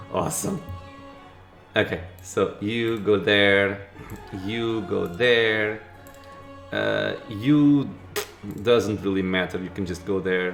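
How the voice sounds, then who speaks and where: With music in the background, a man with a non-native accent talks at a very slow pace and fairly low pitch, leaving long, frequent pauses, with ordinary pitch variation. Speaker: gaming commentator. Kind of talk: let's play commentary. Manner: casual.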